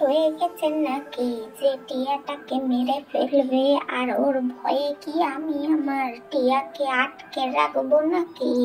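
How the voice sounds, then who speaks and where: A woman's high-pitched, cartoonish character voice at a fairly slow pace, with clear music in the background. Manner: defensive, quarrelsome.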